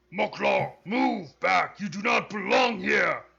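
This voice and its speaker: A man shouts in a raspy, high-pitched, put-on character voice. His pace is fairly slow. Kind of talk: venerable, formal. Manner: pompous, proud, commanding.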